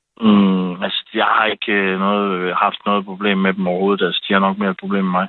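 A man speaks at a moderate pace with hardly any pauses. His pitch is fairly low and his intonation is monotone and flat. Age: 40s. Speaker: caller. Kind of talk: casual chat. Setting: phone call.

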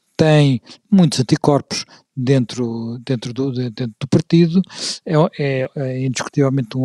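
This man has a dark, mellow tone. His pace is fairly slow. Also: dry, close sound with no echo. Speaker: podcast host and moderator. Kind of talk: history discussion. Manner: halting, many fillers and repeats.

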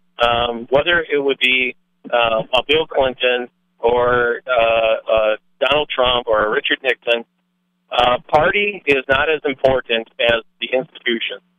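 A man with a normal speaking voice talks at a fairly slow pace. His pitch varies in an ordinary way, and his loudness is very even. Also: medium pitch for a man. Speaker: caller. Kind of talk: political opinion call-in. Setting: phone call.

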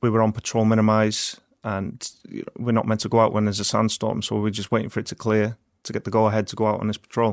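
Talking at a very fast pace, a man with a North Welsh accent sounds dry and close, with no echo. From Wales, Wrexham. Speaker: war veteran. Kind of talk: casual chat.

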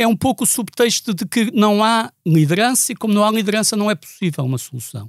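With lively intonation, a man talks at a fairly quick pace and a high pitch. The sound is dry and close, with no echo. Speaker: activist for Palestinian rights. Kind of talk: podcast interview. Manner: repetitive, hesitant.

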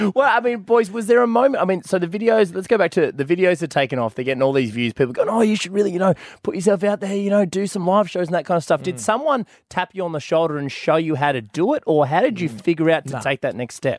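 In a dry, close sound with no echo, a man speaks at a very fast pace and a high pitch, with very wide pitch swings and hardly any pauses. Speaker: podcast host. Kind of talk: casual banter. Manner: joking, playful.

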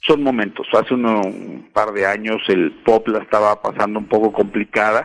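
A man's unremarkable speaking voice, fairly low in pitch, with fairly even intonation, a fairly slow pace and hardly any pauses. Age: 40s. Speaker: music artist manager. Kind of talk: interview.

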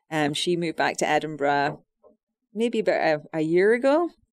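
A woman's fairly low voice in a Scottish accent at a moderate pace. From Scotland. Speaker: host's wife, guest. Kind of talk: casual radio chat. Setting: radio studio.

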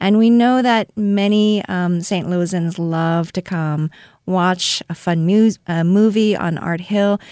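This woman speaks very slowly in a dark, mellow tone at a medium pitch. Her intonation is fairly even, in a very clean recording with a silent background. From South Korea. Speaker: art museum director. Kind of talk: interview. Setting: studio. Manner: hesitant with frequent fillers.

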